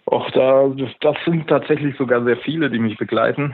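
Fairly even intonation in a man's speech. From Upper Bavaria. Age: 20s. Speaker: gym franchise owner. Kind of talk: interview. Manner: hesitant, many fillers.

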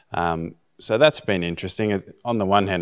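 In a very clean recording with a silent background, a man with an Australian accent speaks with fairly even intonation. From Australia (Bega, NSW). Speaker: high school teacher, missionary candidate. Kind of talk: interview.

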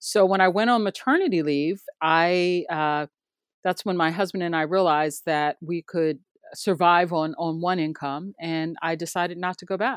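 In a normal speaking voice, a woman with a fairly low pitch talks at a moderate pace with fairly even intonation, sounding dry and close with no echo against a quiet background. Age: 50s. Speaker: TV news producer. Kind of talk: interview.

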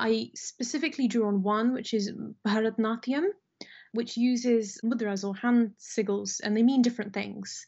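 Somewhat breathy, a woman with a British accent speaks at a fairly high pitch with fairly even intonation. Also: moderate pace. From Britain, of Indian descent. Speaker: fantasy author. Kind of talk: casual interview chat.

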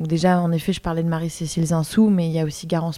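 The woman speaking has a fairly low pitch. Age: 20s. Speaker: visual artist. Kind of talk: interview. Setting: at her home. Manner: hesitant, many fillers.

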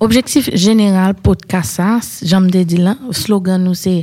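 At a very slow pace, a woman speaks at medium pitch. Her tone is dark and mellow, and somewhat breathy. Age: 30s. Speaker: podcast host. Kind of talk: casual chat.

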